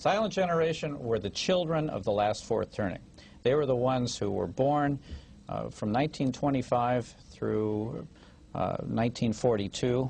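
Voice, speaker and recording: A man with an American accent speaks at a moderate pace and medium pitch, using lively intonation in an unremarkable speaking voice. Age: 50s. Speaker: author. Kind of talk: TV interview. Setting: TV studio with small audience.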